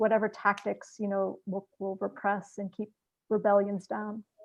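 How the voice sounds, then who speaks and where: Here is a woman with an ordinary speaking voice. Her pitch is fairly high and her pace moderate. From US, Palestinian-American. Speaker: activist panelist. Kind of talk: panel discussion.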